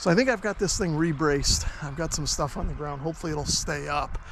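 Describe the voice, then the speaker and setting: A man's fairly high-pitched voice at a fairly quick pace, with ordinary pitch variation and noticeable background noise. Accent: American. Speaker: ham radio youtuber. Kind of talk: travel vlog narration and on-location tutorial. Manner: casual.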